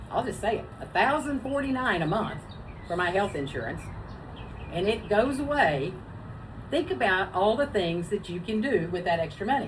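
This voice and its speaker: With very wide pitch swings around a medium pitch, a woman talks with long, frequent pauses amid audible room echo and noticeable background noise. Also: moderate pace. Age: 60s. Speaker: web show co-host. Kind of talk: casual chat.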